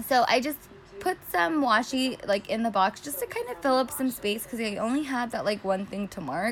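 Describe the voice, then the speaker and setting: A woman with a fairly high pitch and lively intonation talks at a moderate pace over noticeable background noise. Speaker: planner YouTuber. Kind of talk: casual tutorial narration. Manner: filler-heavy, chatty.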